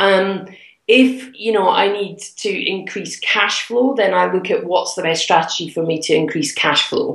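Music plays in the background as a woman speaks at a fairly slow pace. Her voice sits at a medium pitch with ordinary pitch variation. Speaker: property investor and mentor. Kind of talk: interview. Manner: animated.

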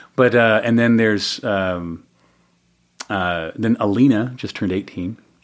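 Recorded very cleanly against a silent background, a man with a fairly low pitch speaks at a fairly slow pace with ordinary pitch variation. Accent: American. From Salt Lake City, Utah. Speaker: stand-up comic, actor and author. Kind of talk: casual chat, comedic storytelling. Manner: animated, humorous storyteller.

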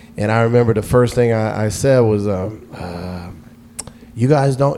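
Against noticeable background noise, a man speaks at a moderate pace with a medium pitch and ordinary pitch variation. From US South, Atlanta. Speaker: radio DJ. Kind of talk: casual chat.

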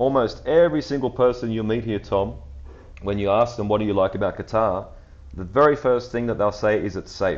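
A man with an Australian accent speaks at a fairly quick pace with ordinary pitch variation. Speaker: football podcast host. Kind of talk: casual chat.

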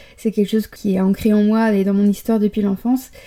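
A woman's fairly high, dark, mellow voice on a very clean recording with a silent background. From Paris, France. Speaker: podcaster and blogger. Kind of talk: solo podcast monologue.

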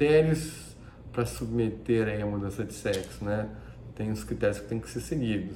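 A man at a moderate pace with big swings in loudness and audible room echo. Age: 40s. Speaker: plastic surgeon. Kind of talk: educational talk. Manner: halting.

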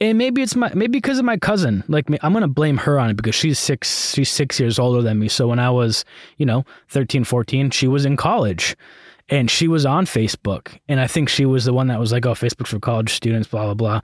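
Recorded very cleanly with a silent background and a dry, close sound without echo, a man with an unremarkable speaking voice talks at a fairly quick pace in a medium pitch, with lively intonation and very even loudness. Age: 30s. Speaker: podcast host. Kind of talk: solo casual monologue.

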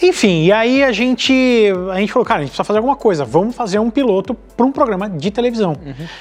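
With music in the background, a man speaks very fast in a high pitch that swings very widely. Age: 30s. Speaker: automotive YouTuber. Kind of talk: casual chat.

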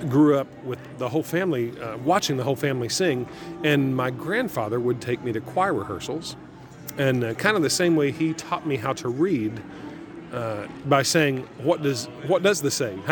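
Over music in the background, a man with an American accent speaks at a moderate pace in a fairly high pitch, with ordinary pitch variation and long, frequent pauses. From small town near where West Virginia, Ohio and Kentucky meet. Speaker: event announcer and barbershop singer. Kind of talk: conversational interview.

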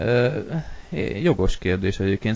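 A man talks at a moderate pace. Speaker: podcast host. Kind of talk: casual chat. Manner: monotone, bored-sounding; hesitant with filler sounds.

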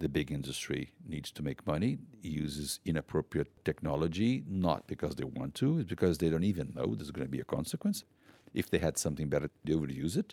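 Speaking at a very fast pace with a Portuguese accent, a man uses a very deep, low pitch, a dark, mellow tone, vocal fry and ordinary pitch variation in a dry, close sound with no echo. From Brazil. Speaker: conservation NGO founder. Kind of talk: personal storytelling.

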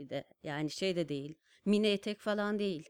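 A woman's medium-pitched voice, dry and close with no echo, on a very clean recording with a silent background. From Turkey, Kars. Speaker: designer and stamp artist. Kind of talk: casual interview storytelling. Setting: studio.

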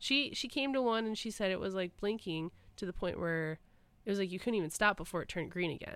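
Speaking very fast with a Michigan accent, a woman keeps a medium pitch and lively intonation. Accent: US Midwest (Michigan). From Michigan, Clarkston suburbs. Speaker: podcast co-host. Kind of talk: casual chat.

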